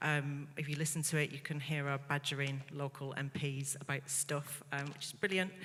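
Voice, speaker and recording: A woman with a slight northern English accent has a very deep, low pitch and a bright, sharp tone. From northern England, Bolton. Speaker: media executive on quiz panel. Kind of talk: panel discussion.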